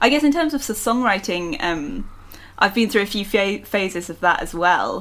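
In a London accent, a woman speaks at a medium pitch with lively intonation. Her pace is moderate. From London, England. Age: 20s. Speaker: singer-songwriter. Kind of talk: casual interview. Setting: remote call from home.

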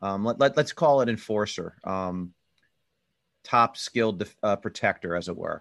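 A man with an American accent and a plain, everyday voice talks at a moderate pace and fairly low pitch, with ordinary pitch variation, on a very clean recording with a silent background and a dry, close sound with no echo. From US Northeast, Philadelphia area. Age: 50s. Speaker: hockey podcast host. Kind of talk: casual chat.

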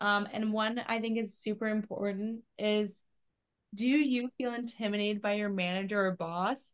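A woman with a Canadian accent uses a plain, everyday voice, speaking at a moderate pace with a fairly high pitch and fairly even intonation. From Canada. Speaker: podcast co-host, remote worker. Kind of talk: casual chat.

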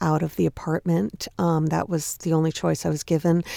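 A woman's fairly low voice in an American accent, a dry, close sound with no echo on a very clean recording with a silent background. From US Northeast, Long Island. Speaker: fitness entrepreneur. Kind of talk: interview. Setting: studio.

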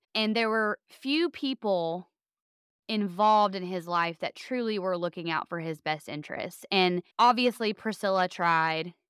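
Speaking at a fairly slow pace with medium pitch and ordinary pitch variation, a woman comes through dry and close with no echo, on a very clean recording with a silent background. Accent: Southern US. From US South. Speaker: podcast co-host. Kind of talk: casual chat.

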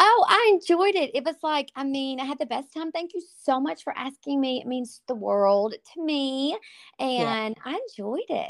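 High-pitched woman with a Southern US accent, very wide pitch swings and a moderate pace, in a dry, close sound with no echo on a very clean recording with a silent background. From East Texas, Tyler. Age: 40s. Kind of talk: casual chat.

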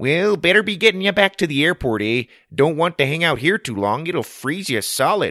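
A man's put-on character voice with a Canadian accent, fairly high in pitch and bright and sharp in tone, with big pitch swings at a moderate pace, in a dry, close sound with no echo and a very clean recording with a silent background

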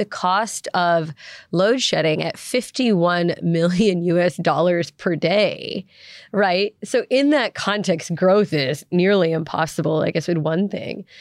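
The recording is very clean, with a silent background. A woman speaks at medium pitch in a normal speaking voice. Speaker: energy researcher leading discussion. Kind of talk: interview.

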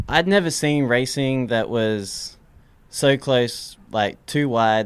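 The recording is very clean, and the background is silent. In it, a man talks with an American accent. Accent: Australian with some American. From Australia. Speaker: race car mechanic. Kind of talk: casual interview.

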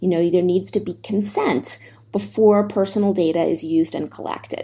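A dark, mellow tone with an American accent at a fairly quick pace. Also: woman. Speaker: think tank fellow, China tech policy expert. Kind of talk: interview.

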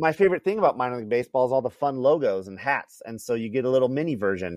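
In a dry, close sound with no echo, a man with a medium pitch races along at a very fast pace with lively intonation. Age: 40s. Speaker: minor league ballpark MC. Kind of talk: casual chat.

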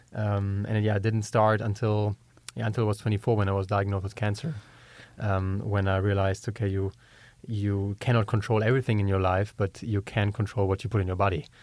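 A man's fairly low voice, fairly quick in pace, with monotone, flat intonation. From Germany. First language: German. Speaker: entrepreneur. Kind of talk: interview. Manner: halting.

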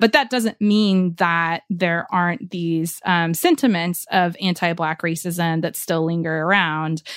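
With an American accent, a woman has an ordinary speaking voice, a fairly low pitch and ordinary pitch variation. She talks at a fairly slow pace with hardly any pauses, in a very clean recording with a silent background. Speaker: reporter and podcast host. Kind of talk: interview.

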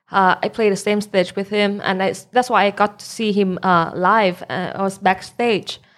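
A woman with a Thai accent, medium-pitched, flat and monotone, at a moderate pace. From Thailand. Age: 20s. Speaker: DJ. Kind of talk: casual chat.

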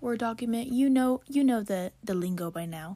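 A woman speaks with a normal speaking voice at a moderate pace. Her pitch shows ordinary variation. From Kansas, US Midwest. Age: 20s. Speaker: true crime podcaster. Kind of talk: casual chat, solo podcast. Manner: casual, chatty, rambling.

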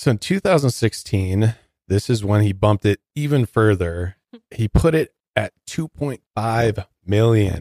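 Speaking in an American accent at a fairly slow pace, a man has a fairly low, dark, mellow voice with ordinary pitch variation and a dry, close sound with no echo. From Detroit, US Midwest. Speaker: podcast co-host. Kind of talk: casual chat.

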